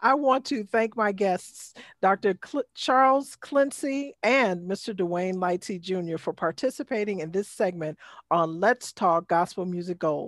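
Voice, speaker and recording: With a plain, everyday voice, a woman of medium pitch speaks at a fairly slow pace with lively intonation, recorded very cleanly against a silent background with a dry, close sound with no echo. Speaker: podcast host. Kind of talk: casual interview chat.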